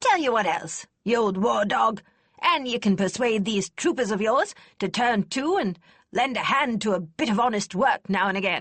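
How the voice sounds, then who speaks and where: A female-sounding voice uses a put-on character voice. The pitch is fairly high for a woman. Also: moderate pace. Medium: read story. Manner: blunt, brusque.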